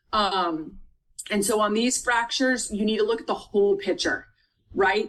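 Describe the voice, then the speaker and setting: At a moderate pace, a woman speaks in a plain, everyday voice, fairly high in pitch, with ordinary pitch variation and very even loudness. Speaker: nursing tutor. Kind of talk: tutoring lecture.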